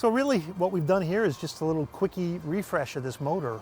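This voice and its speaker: With music in the background, a man speaks fairly quickly, his pitch varying in an ordinary way. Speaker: Porsche restoration shop owner. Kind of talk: interview answer.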